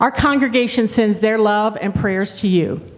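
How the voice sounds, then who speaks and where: Against noticeable background noise and audible room echo, a woman talks at a moderate pace in a medium pitch. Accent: slight Southern. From Ohio, Dayton. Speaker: pastor. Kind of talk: sermon.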